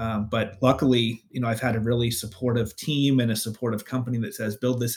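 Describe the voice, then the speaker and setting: Very cleanly recorded with a silent background, a man with a West Coast US accent talks at a fairly quick pace in a medium pitch, somewhat breathy and with monotone, flat intonation. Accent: General American, West Coast. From US West Coast, Northern California (Bay Area). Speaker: data analytics leader. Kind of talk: casual interview.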